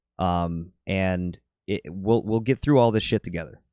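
A man in a normal speaking voice at a moderate pace, ordinary pitch variation, dry, close sound with no echo, very clean recording, silent background. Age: 30s. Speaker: fitness coach. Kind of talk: casual chat.

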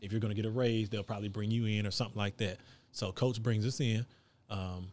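The recording is very clean with a silent background as a man talks fairly quickly at a fairly low pitch in a flat, monotone way. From Texas, Gulf Coast (Hitchcock). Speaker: basketball coach, former college player. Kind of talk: casual interview.

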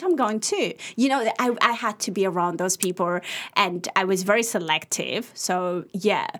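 The woman talks at a moderate tempo. Behind her, background noise is noticeable. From Sudan, Ethiopian family. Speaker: youth mentor and advocate. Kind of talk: casual interview. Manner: halting, many fillers and restarts.

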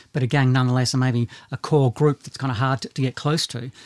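In a dry, close sound with no echo, a plain, everyday voice moves at a fairly quick pace with fairly even intonation. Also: man. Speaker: podcast host. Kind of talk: casual podcast discussion.

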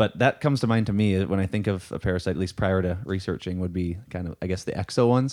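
Pitched very deep and low, a man races along at a very fast pace with hardly any pauses on a very clean recording with a silent background. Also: ordinary pitch variation. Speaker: podcast co-host. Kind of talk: casual conversation.

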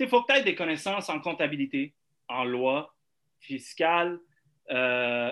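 At a very slow pace, a man talks in a bright, sharp tone with very wide pitch swings. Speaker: real estate broker. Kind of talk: casual chat.

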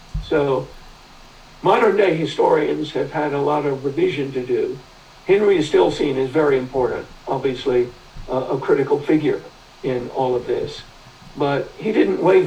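Noticeable background noise fills the recording. A man speaks at a moderate pace. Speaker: history professor. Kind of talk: interview. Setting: video call. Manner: halting.

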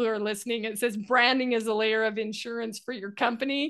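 A woman speaks with a fairly high pitch. The background is quiet. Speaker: podcast host. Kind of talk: interview. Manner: animated.

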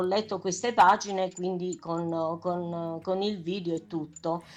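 Against a quiet background, a woman talks at a very slow pace with medium pitch and fairly even intonation. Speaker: stage actress. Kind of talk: radio interview.

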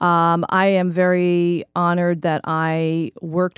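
A woman with an American accent talks in a fairly low pitch and a monotone, flat intonation. The sound is dry and close with no echo, and the recording is very clean with a silent background. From New York and New Jersey. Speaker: playwright and educator. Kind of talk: interview.

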